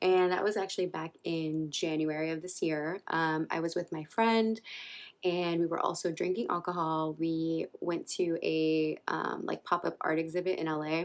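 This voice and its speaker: A soft-spoken woman talks at a fairly low pitch in a monotone, flat intonation. The recording is very clean, with a silent background. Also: moderate pace. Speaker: vlogger. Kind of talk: personal storytelling vlog. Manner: soft-spoken, talking low.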